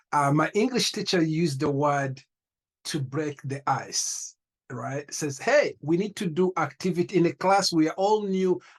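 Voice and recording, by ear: Fairly slow and fairly high-pitched, a man's voice carries a slightly husky edge and ordinary pitch variation.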